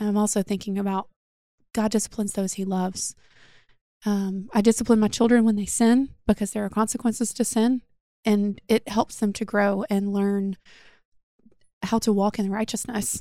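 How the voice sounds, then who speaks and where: A woman with a Southern US accent, medium pitch and a dark, mellow tone, monotone and flat, at a moderate pace with long, frequent pauses, on a very clean recording against a silent background. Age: 30s. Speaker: podcast host. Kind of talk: casual chat.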